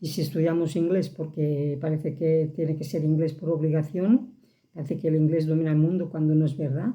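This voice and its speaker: A woman's very deep, low voice in a Catalan accent, dark, mellow and somewhat breathy, fairly quick with fairly even intonation. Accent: Catalan accent, regained. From Catalonia. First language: Catalan (speaking Spanish). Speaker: vlogger. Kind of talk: casual monologue to camera.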